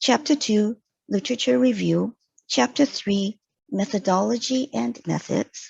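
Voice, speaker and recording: In a non-native accent, a somewhat breathy voice moves through very wide pitch swings at a fairly slow pace, with a dry, close sound, no echo and a quiet background. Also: woman. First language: not English. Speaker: mature student presenting thesis. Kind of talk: scripted presentation. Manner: formal.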